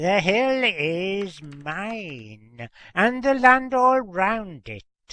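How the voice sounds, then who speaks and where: A put-on character voice at a very slow pace. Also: man, high pitch for a man. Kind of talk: folk tale incantation. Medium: solo performance. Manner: archaic, commanding.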